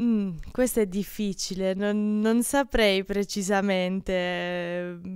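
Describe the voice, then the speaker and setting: A woman speaks very slowly with fairly even intonation and hardly any pauses. The sound is dry with no echo against a quiet background. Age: 20s. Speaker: archer; interviewee. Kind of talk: interview. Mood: relaxed, smiling. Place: gym. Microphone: handheld.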